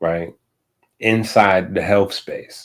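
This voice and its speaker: A man speaks at a very slow pace with a fairly low pitch and fairly even intonation, on a very clean recording with a silent background. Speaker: livestream host. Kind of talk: casual livestream talk. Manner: halting.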